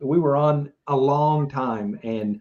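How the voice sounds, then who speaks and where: This is a man speaking. His pitch is fairly high. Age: 60s. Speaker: livestream political commentary host. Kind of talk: casual live election coverage chat.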